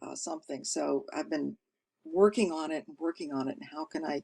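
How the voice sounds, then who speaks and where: The speech moves at a moderate pace against a quiet background. The sound is dry and close, with no echo. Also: woman. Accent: American. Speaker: storyteller. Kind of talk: interview answer.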